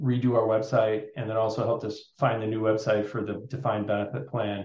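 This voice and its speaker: At a fairly quick pace, a male speaker talks in a somewhat breathy voice. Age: 50s. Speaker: financial planner. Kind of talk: interview.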